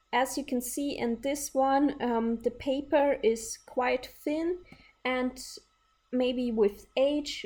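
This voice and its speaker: A very slow pace with ordinary pitch variation. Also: woman. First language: not English. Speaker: sewing YouTuber. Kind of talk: tutorial. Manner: some hesitations with fillers.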